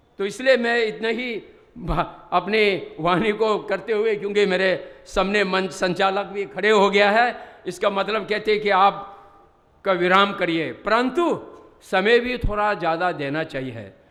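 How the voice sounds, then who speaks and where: Over noticeable background noise and audible room echo, a man with a high pitch speaks with ordinary pitch variation. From Ladakh, India. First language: Bodhi (Ladakhi/Tibetan) (speaking Hindi). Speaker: Buddhist religious teacher. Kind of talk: conference speech. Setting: stage with audience.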